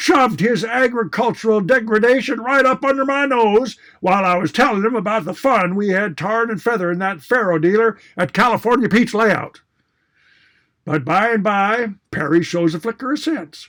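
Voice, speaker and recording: This man talks at a moderate pace, his pitch high for a man. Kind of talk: tall tale cowboy yarn. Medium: read story. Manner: colorful, florid, mock-indignant.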